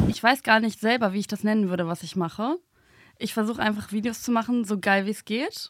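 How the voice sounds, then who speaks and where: A woman with an ordinary speaking voice talks at a fairly quick pace and fairly high pitch, with ordinary pitch variation, in a dry, close sound with no echo on a very clean recording with a silent background. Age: 20s. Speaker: journalist and video creator. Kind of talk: casual chat.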